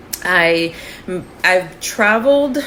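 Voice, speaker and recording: Noticeable background noise sits behind this voice. A woman speaks with an American accent. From New Jersey (Union City, near Manhattan). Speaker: podcast co-host. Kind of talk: casual chat.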